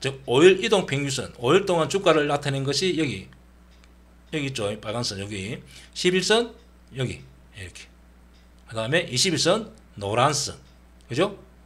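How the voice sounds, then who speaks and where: With a Gyeongsang accent, a man speaks at a moderate pace and a fairly high pitch, using very wide pitch swings, big swings in loudness and long, frequent pauses. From Gyeongsang region, Korea. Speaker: stock trading educator. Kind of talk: tutorial. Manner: casual, with many fillers.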